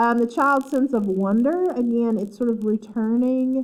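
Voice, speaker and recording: At a moderate pace, a woman speaks in an Appalachian accent with ordinary pitch variation. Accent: Appalachian twang. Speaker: literature professor. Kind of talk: lecture. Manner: halting, many fillers.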